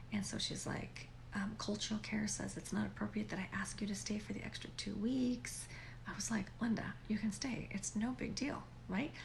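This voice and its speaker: Through audible room echo and noticeable background noise, a woman talks at a moderate pace. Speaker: vlogger. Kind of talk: casual chat. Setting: home at night, upstairs guest bedroom. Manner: conversational, animated.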